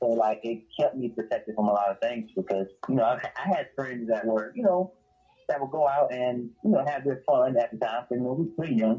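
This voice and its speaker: Speaking at a fairly quick pace with a Southern US accent, a man shows ordinary pitch variation. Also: medium pitch for a man. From South Carolina. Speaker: musician. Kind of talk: casual interview.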